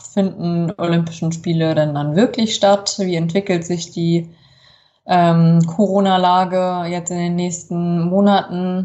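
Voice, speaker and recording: Her pitch is fairly low, and this woman's intonation is monotone and flat. She speaks at a very slow pace. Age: 30s. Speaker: rower and teacher. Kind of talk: interview.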